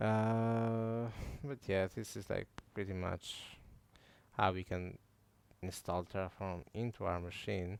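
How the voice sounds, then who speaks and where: A man speaks very slowly, with long, frequent pauses. His fairly low voice stays fairly even in intonation on a very clean recording with a silent background. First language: not English. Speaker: tech tutorial youtuber. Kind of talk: tutorial. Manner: halting, many fillers; casual.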